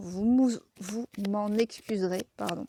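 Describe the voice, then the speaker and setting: A woman speaks at a medium pitch with a dark, mellow tone and fairly even intonation. The sound is dry and close, with no echo. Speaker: tarot card reader. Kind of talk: tarot reading to camera. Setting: outdoors. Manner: casual, hesitant with many fillers.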